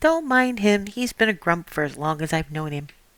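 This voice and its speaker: A woman puts on a squeaky character voice at a medium pitch. She speaks at a moderate pace with very wide pitch swings. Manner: reassuring, breezy.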